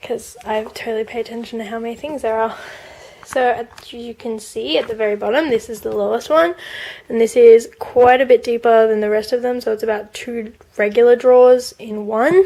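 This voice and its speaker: Talking at a fairly quick pace, a woman with an Australian accent has a fairly high pitch and a dark, mellow tone. Her intonation is fairly even, while her loudness swings widely. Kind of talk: casual product review to camera.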